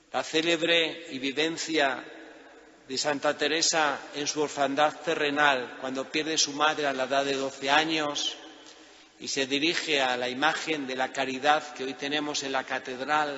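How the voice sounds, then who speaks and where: A man with a Spanish accent talks fairly slowly at a fairly high pitch, his intonation monotone and flat. Noticeable background noise sits behind him. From Spain. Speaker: priest. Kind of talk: sermon.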